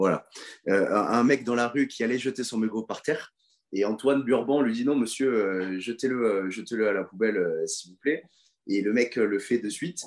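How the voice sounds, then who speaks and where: This man speaks at a fairly slow pace. His medium-pitched voice shows ordinary pitch variation. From France, Toulouse. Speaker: professional rugby player. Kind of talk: interview. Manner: halting, with many repetitions.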